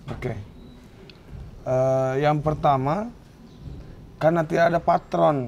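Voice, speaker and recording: Very slow and full of long, frequent pauses, a man's speech has a fairly high pitch and lively intonation. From Bone, South Sulawesi (Bugis). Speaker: art practitioner and teacher. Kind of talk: podcast interview.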